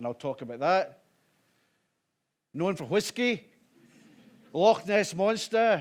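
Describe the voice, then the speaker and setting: A man speaks fairly slowly in a Scottish accent. His intonation is lively. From Scotland, Glasgow. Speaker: violence reduction director, former police officer. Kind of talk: conference talk. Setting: conference with live interpreter.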